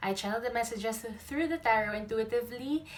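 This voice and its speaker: A woman talks at a fairly quick pace with lively intonation. Her voice is fairly high in pitch and somewhat breathy. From Philippines. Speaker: tarot reader. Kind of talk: tarot reading to camera. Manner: casual, chatty.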